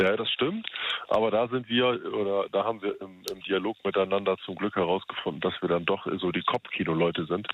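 A man with an unremarkable speaking voice talks at a fairly quick pace. His pitch is fairly low and his intonation fairly even. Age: 30s. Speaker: radio call-in listener. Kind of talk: casual phone chat.

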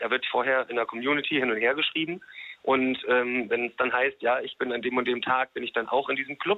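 A man uses a normal speaking voice at a medium pitch. He moves at a fairly quick pace. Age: 30s. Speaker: radio call-in listener. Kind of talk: casual phone chat.

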